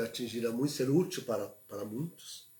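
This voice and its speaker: Somewhat breathy, a man talks at a fairly slow pace with a medium pitch. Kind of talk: livestream talk. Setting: livestream. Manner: soft-spoken; halting.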